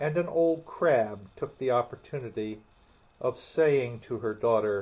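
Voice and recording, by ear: Someone reads the text aloud in a natural voice.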